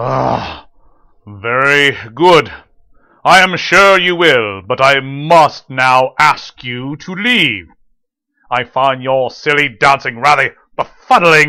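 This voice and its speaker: The put-on character voice has a pompous tone and moves at a very slow pace. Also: man, fairly high pitch for a man. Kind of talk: classic radio drama acting. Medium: audio drama. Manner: pompous, haughty.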